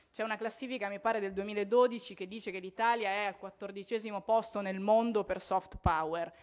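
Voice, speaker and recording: At a fairly quick clip with hardly any pauses, a woman with an unremarkable speaking voice talks at medium pitch with fairly even intonation against a quiet background. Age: 20s. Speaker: politician. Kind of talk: conference speech. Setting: parliament conference hall. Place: hall. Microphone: podium.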